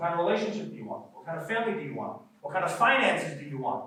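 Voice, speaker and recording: A man with an American accent speaks in an animated tone, with audible room echo. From US Northeast, New York City. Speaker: real estate investor and workshop speaker. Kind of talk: motivational workshop talk. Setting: stage with live audience.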